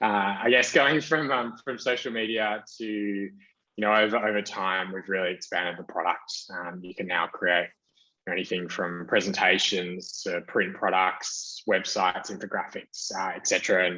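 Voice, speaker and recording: A man's voice with a bright, sharp tone, ordinary pitch variation and a moderate pace. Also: fairly low pitch for a man. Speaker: marketing executive. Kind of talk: conference talk with slides. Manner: many fillers and restarts.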